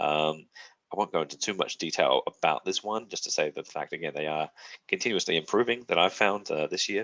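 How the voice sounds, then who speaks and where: A man talking at a fairly quick pace, the sound dry and close with no echo. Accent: Australian. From South Australia, Adelaide. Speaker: university representative. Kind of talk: presentation to prospective students. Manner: hesitant with many fillers.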